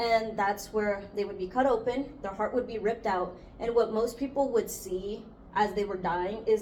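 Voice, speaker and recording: A woman with a Spanish accent talks at medium pitch and a moderate pace. Her intonation is fairly even while her loudness swings widely. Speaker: student podcast host. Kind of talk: casual chat.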